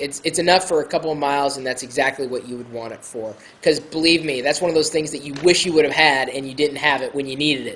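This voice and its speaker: A man with an American accent talks at a very fast pace, with hardly any pauses, at a fairly high pitch. His intonation stays fairly even while his loudness swings widely over noticeable background noise. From Iowa, US Midwest. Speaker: tech video blogger. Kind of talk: casual tutorial. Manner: hesitant, many fillers.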